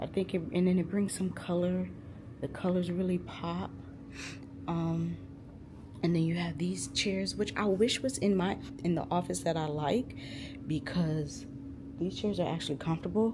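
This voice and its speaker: A woman whispers at a moderate pace, stopping often for long pauses. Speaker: therapy student intern and vlogger. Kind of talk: casual vlog tour. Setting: indoor office building. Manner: whispering.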